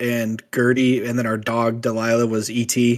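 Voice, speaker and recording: Speaking in a normal speaking voice, a man talks at medium pitch and a fairly slow pace. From US Midwest (small town). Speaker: musician, guest co-host. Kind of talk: casual chat.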